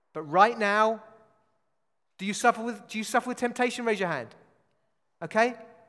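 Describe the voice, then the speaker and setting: A man with a British accent talks in an animated tone at a high pitch, bright and sharp, at a fairly quick pace with long, frequent pauses, big swings in loudness and ordinary pitch variation. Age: 40s. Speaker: pastor. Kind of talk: sermon. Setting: church.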